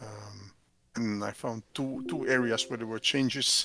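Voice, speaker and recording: A man with a non-native accent talks at a moderate pace, his medium-pitched voice bright and sharp in tone, the intonation fairly even. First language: not English. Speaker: software developer and business owner. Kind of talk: casual chat. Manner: halting.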